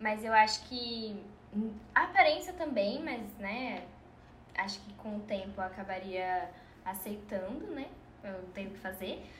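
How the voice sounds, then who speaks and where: Speaking at a fairly slow pace with long, frequent pauses, a woman at medium pitch uses lively intonation and big swings in loudness, with audible room echo and noticeable background noise. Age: 20s. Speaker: podcast guest, friend of host. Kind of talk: casual chat.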